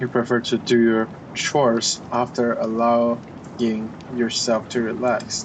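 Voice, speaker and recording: A man's medium-pitched voice with a non-native accent, fairly slow and monotone, with very even loudness and noticeable background noise. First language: not English. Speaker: vlogger. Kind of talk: casual chat. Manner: halting, many fillers.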